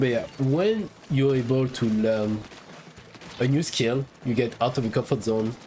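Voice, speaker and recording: A man with a French accent speaks at a fairly slow pace and medium pitch. Noticeable background noise runs underneath. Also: ordinary pitch variation. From France. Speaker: gaming YouTuber. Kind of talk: casual video monologue. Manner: halting.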